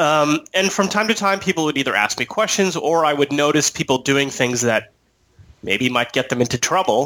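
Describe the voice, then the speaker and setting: Using a bright, sharp tone and an American accent, a man with a fairly high pitch talks at a moderate pace with lively intonation and very even loudness. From San Diego, California. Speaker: attorney. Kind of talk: interview. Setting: Skype call.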